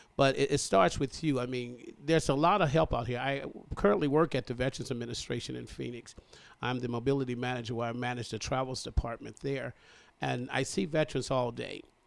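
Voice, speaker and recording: Speaking fairly quickly, a man uses a medium pitch with ordinary variation and some vocal fry. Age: 60s. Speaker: military veteran. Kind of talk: interview. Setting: radio studio. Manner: earnest, motivational.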